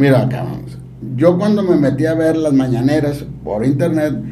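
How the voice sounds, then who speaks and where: With audible room echo, a man speaks at a fairly slow pace in a fairly high pitch with ordinary pitch variation. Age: 50s. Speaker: civic activist and association leader. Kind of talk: casual interview.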